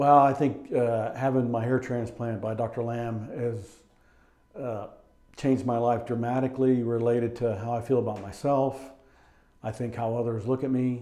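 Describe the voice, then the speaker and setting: Audible room echo surrounds a man speaking at a moderate pace. His intonation is monotone and flat. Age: 60s. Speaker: patient. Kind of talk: testimony. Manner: hesitant. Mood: grateful, calm. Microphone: lapel.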